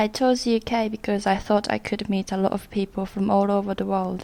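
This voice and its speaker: Speaking at a moderate pace with a Japanese accent, a woman uses a fairly high pitch and a monotone, flat intonation. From Japan, Kyushu. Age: 20s. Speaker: community worker. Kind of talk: documentary narration.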